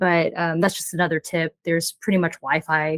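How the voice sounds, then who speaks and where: A woman speaks in a fairly low pitch with a Mandarin accent. The sound is dry and close, with no echo. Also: very clean recording, silent background. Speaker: full-time travel blogger. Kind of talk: interview.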